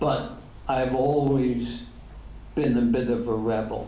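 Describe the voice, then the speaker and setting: Someone with an American accent speaks at a very slow pace with audible room echo. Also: man. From Ireland. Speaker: pastor. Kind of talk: Q&A at a luncheon talk.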